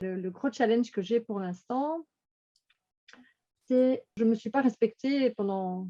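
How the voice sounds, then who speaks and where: A woman's fairly high-pitched voice with a dark, mellow tone, very slow pace and ordinary pitch variation, in a dry, close recording with no echo. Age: 60s. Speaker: coaching client giving testimony. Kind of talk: testimony. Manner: halting, many repetitions and hesitations.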